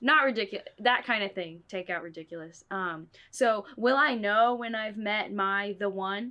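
Against a quiet background, a plain, everyday voice keeps a moderate pace and shows ordinary pitch variation. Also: woman. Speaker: podcast host. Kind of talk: casual chat.

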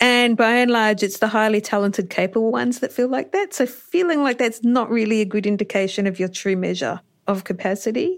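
On a very clean recording with a silent background, a woman with an Australian accent and a fairly high pitch talks fairly quickly, with hardly any pauses and ordinary pitch variation. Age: 40s. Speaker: doctor and coach for health professionals. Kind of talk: interview.

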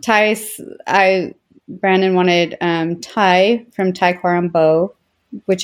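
A woman at a medium pitch uses an ordinary speaking voice with ordinary pitch variation. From Utah. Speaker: interviewee, bishop's wife. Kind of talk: life history interview.

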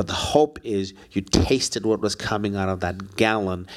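An unremarkable speaking voice of a man, fairly low in pitch with fairly even intonation, on a very clean recording with a silent background. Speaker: class leader who leads closing prayer. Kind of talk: class discussion and prayer.

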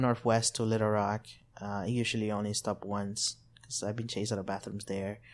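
A man speaks at a medium pitch with a Spanish accent. The recording is very clean, with a silent background. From El Salvador. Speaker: community organizer. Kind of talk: interview.

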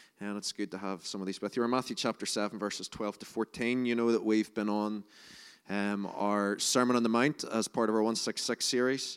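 A man with a Northern Irish accent and a fairly low pitch speaks in a flat monotone, with a dry, close sound with no echo on a very clean recording with a silent background. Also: fairly quick pace. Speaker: preacher. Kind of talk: sermon. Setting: church.

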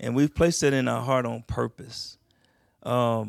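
A man with an ordinary speaking voice and an American accent talks at a moderate pace in a medium pitch with fairly even intonation, on a very clean recording with a silent background. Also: dry, close sound with no echo. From Texas, Houston. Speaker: military veteran, church member. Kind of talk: on-stage interview in church. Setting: church stage with audience.

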